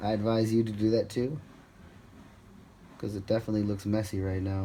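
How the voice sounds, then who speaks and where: A man's fairly low voice carries a dark, mellow tone. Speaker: sculptor. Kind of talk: tutorial. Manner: casual, halting with repeated words.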